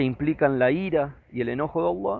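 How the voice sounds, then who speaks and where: A man with a fairly high pitch. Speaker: religious teacher. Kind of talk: lecture.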